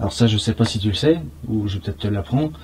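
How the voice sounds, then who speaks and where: Somewhat breathy and very fast, a man speaks at a fairly low pitch with lively intonation. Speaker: paranormal investigator. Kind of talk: casual on-location discussion. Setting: inside a bunker.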